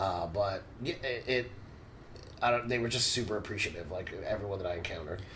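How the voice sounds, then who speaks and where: Over noticeable background noise and audible room echo, a man talks at a fairly quick pace. His voice is fairly low, with ordinary pitch variation. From United States, Cuban-American family. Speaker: professional body piercer and instructor. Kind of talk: casual podcast conversation. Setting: in-person recording in Brazil.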